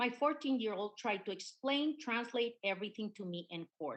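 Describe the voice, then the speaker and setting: Here a woman talks at a moderate pace. Her pitch is fairly high, with ordinary variation. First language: Spanish. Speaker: witness at congressional hearing. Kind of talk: testimony. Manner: halting.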